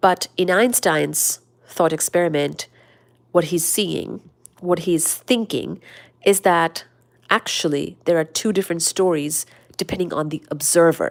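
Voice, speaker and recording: A woman speaks at a fairly low pitch with vocal fry. Her speech has long, frequent pauses. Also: ordinary pitch variation, fairly slow pace. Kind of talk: casual study-along talk about physics, reading from books. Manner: soothing, calm.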